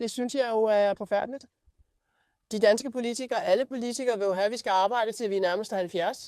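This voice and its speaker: A woman talks very fast at a fairly high pitch, her tone dark and mellow, her intonation fairly even. The recording is very clean, with a silent background. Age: 60s. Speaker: airline captain. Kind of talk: interview.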